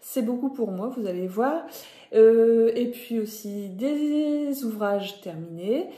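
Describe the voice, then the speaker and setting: With a northern French accent, a woman speaks at a very slow pace in audible room echo. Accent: Ch'ti (northern French). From northern France (Nord). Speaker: knitting podcaster. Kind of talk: casual vlog talk to viewers. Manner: hesitant, many fillers (euh).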